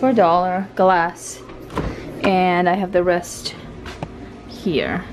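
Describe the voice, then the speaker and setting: A woman talks with music playing in the background. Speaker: mother vlogger. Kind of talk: casual vlog chat. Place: home room. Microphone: phone near.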